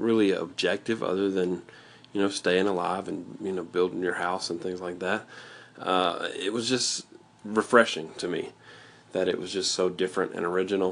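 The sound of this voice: A fairly bright voice with vocal fry speaks at a moderate pace, its intonation fairly even. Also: man.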